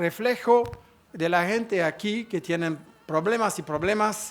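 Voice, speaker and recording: A man with a non-native accent speaks at a very slow pace. His pitch variation is ordinary. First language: French (speaking Spanish). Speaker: conference speaker. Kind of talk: conference talk. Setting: conference hall with audience. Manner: halting.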